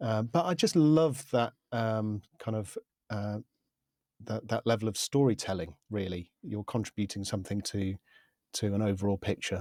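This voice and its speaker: At a moderate pace, a man with a fairly low pitch and a dark, mellow tone speaks with ordinary pitch variation, on a very clean recording with a silent background. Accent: southern English. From UK. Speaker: media composer and podcaster. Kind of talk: interview. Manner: halting, many fillers.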